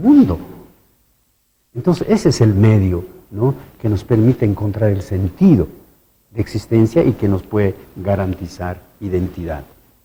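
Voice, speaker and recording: Speaking fairly slowly with an Andean accent, a man with a fairly low pitch has a dark, mellow tone that is somewhat breathy. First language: Quechua (speaking Spanish). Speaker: university researcher. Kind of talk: TV interview.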